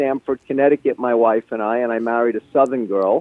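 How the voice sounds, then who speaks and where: A man with a New York accent talks with fairly even intonation. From Brooklyn, New York City. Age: 60s. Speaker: fishing guide and author. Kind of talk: interview.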